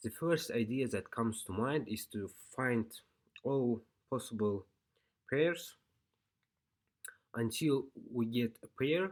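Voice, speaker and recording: A non-native accent at a very slow pace, with long, frequent pauses and ordinary pitch variation. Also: man. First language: not English. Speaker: programming tutor. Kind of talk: tutorial. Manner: halting.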